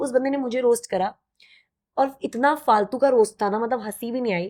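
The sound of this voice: A woman speaks in a fairly high pitch at a moderate pace. Her tone is slightly mellow. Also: ordinary pitch variation.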